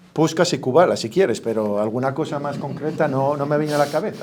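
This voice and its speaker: Here a man talks at a fairly quick clip in a normal speaking voice. His intonation is lively. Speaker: event host. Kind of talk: speaker introduction.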